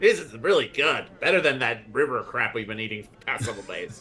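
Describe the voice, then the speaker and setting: Over faint music in the background, a man in a put-on character voice rattles along at a very fast pace, medium in pitch, with lively intonation and big swings in loudness. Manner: talking with mouth full, chewing.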